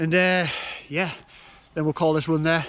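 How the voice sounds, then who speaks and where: In a Yorkshire accent, a man speaks at a fairly quick pace. His pitch is high and his intonation monotone and flat. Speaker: vlogger, amateur triathlete. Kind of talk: casual vlog to camera.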